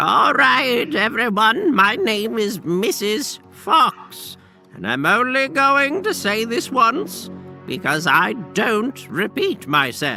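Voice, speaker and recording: A man's put-on character voice, high-pitched, squeaky and stern, at a very slow pace, with clear music in the background. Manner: stern, strict.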